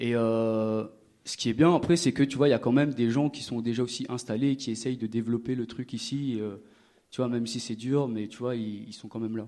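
With a dark, mellow tone, a man speaks at a moderate pace in a medium pitch. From Réunion, Le Tampon (south). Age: 20s. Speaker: rapper and percussionist. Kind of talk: live panel conversation. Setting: stage with audience.

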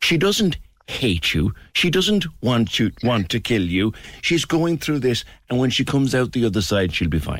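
A man with a Cork accent speaks at medium pitch and a moderate pace. His pitch swings very widely while his loudness stays very even. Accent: Irish (Cork). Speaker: radio talk show host. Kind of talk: phone-in radio show. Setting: studio. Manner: animated.

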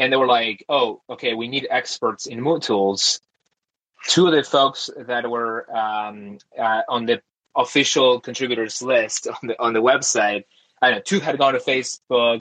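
A man's medium-pitched voice with a bright, sharp tone and a Spanish accent, ordinary pitch variation and a fairly slow pace. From Argentina, outskirts of Buenos Aires. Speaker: tech company founder. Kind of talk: interview.

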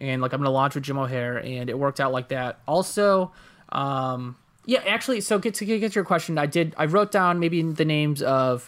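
A man with a plain, everyday voice speaks at a fairly quick pace and fairly high pitch with lively intonation, on a very clean recording with a silent background. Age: 20s. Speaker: podcaster and comedian. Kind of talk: casual chat.

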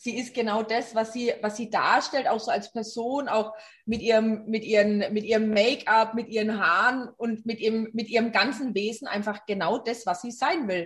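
Speaking with a Franconian accent, a somewhat breathy woman with a fairly high pitch keeps a moderate pace, hardly any pauses and fairly even intonation. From Franconia, Germany. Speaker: rock singer. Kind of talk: interview.

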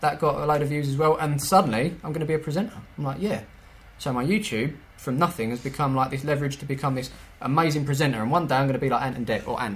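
A man's fairly high, somewhat breathy voice at a very fast pace, with ordinary pitch variation. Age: 30s. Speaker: YouTuber running an amateur football team. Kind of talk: casual chat.

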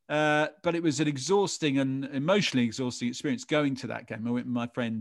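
A man with an English accent talks at a fairly quick pace in a medium pitch. The recording is very clean, with a silent background. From England. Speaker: advertising director and podcast host. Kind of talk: casual interview chat.

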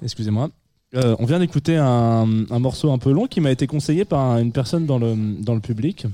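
The dark, mellow tone moves at a fairly quick pace with very even loudness and ordinary pitch variation on a very clean recording with a silent background. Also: man, medium pitch for a man. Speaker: radio host. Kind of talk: live radio show chat with music presentation. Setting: studio with live audience, also streamed on video. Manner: halting, many repetitions.

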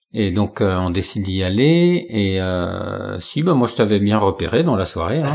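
Noticeable background noise runs under a man's fairly low voice. He talks at a fairly slow pace with lively intonation. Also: hardly any pauses. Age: 40s. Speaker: job-seeking carpenter and guitarist. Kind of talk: casual interview.

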